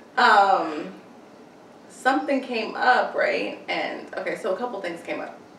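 A woman talks at a fairly slow pace in a high pitch, her intonation lively. Her loudness swings widely, with audible room echo and noticeable background noise. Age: 30s. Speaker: podcast co-host. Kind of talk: casual chat.

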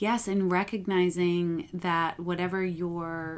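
This is a plain, everyday voice with an American accent. The intonation stays fairly even. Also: woman. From upstate New York. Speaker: psychotherapist. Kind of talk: podcast interview.

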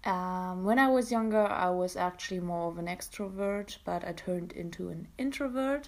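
This woman has a German accent and a medium-pitched voice. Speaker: podcaster, university student. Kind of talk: casual solo monologue. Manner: hesitant with fillers and self-corrections.

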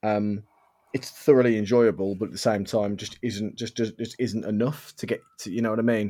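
In a British accent, a man speaks at a moderate pace with a fairly low pitch. His tone is dark and mellow, and his intonation fairly even. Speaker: podcast host. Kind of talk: casual chat.

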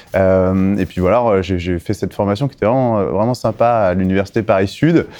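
A man speaks at a moderate pace with a very deep, low pitch. His pitch variation is ordinary, and noticeable background noise can be heard. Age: 40s. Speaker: recruitment and employer branding specialist. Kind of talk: interview.

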